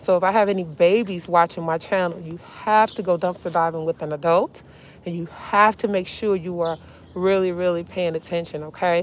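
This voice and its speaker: A woman's fairly low-pitched voice, fairly even in intonation, dry with no echo over light background noise. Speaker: dumpster diving vlogger. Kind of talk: casual vlog narration. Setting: outdoors and in a car. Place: car. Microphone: phone near.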